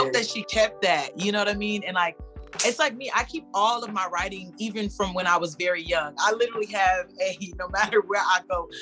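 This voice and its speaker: With an American accent, a woman speaks at a medium pitch with ordinary pitch variation while music plays in the background. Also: fairly quick pace. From Tampa, Florida. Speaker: slam poet. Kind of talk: casual interview answer.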